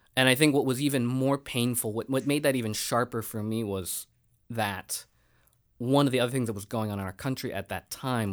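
A man talks in a normal speaking voice at a medium pitch and a moderate pace, with ordinary pitch variation. The recording is very clean, with a silent background. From Richmond, Virginia, US. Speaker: nonprofit director. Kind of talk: interview.

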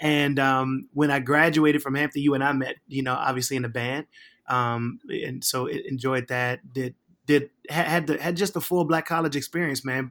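At a moderate pace, an unremarkable speaking voice with an American accent keeps a fairly even intonation. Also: man, fairly high pitch for a man. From Virginia, Richmond. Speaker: pastor. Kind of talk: casual chat.

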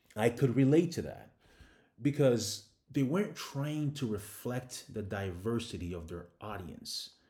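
This man's voice has a medium pitch and a dark, mellow tone, somewhat breathy, with lively intonation and big swings in loudness. He talks at a fairly slow pace on a very clean recording with a silent background. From Ghana. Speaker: podcast host. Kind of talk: monologue commentary.

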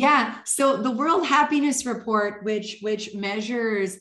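In a very clean recording with a silent background, a woman speaks with a Canadian accent and a normal speaking voice. Her pitch is fairly high with ordinary variation, and her pace is fairly slow. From northern Canada. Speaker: leadership coach and author. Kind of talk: interview.

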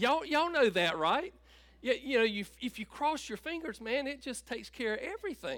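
This man talks at a fairly quick pace with a North Carolina accent, his extremely high pitch moving in very wide swings. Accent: Southern US (North Carolina). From US South, North Carolina (Tabor City). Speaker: pastor. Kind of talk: sermon.

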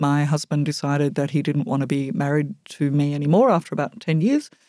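The recording is very clean, with a silent background. A woman speaks with a very deep, low pitch and a dark, mellow tone. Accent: Australian. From Australia. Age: 60s. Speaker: housing charity executive and board chair. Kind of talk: interview. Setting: studio.

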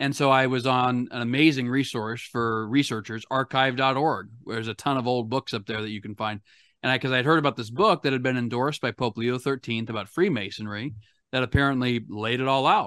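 A man with an ordinary speaking voice, medium pitch and ordinary pitch variation at a fairly quick pace, on a very clean recording with a silent background. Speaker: author and historian. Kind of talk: casual interview discussion.

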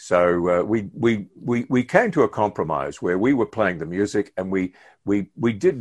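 Recorded with a dry, close sound, no echo and a quiet background, a man talks at a fairly slow pace with ordinary pitch variation. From New Zealand, Hastings. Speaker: retired radio announcer. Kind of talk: interview. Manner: hesitant fillers; talkative.

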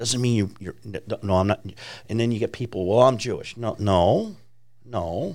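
In a Chicago accent, a man at medium pitch speaks at a moderate pace with ordinary pitch variation and long, frequent pauses. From Chicago, US Midwest. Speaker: ministry founder. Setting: studio.

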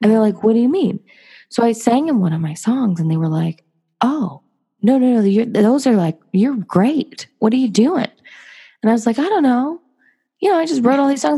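With an American accent, a woman speaks at a moderate pace in a fairly high, somewhat breathy voice that makes very wide pitch swings. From US West Coast, Los Angeles. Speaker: singer-songwriter and artist. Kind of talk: casual interview chat.

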